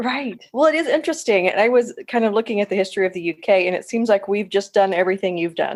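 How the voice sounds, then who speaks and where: Lively intonation marks a woman speaking at a very fast pace. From Oklahoma, US. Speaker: physician associate. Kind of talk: podcast interview. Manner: casual, conversational.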